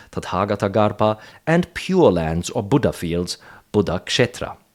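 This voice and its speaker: A man with a fairly low pitch at a moderate pace, on a very clean recording with a silent background. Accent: non-native. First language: not English. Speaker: Buddhism commentator. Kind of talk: solo talk video. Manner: hesitant, many fillers.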